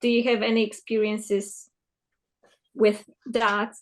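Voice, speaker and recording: The speaker has a Polish accent and a fairly slow pace. The intonation stays monotone and flat. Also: woman. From Poland. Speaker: therapist attendee. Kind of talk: audience question.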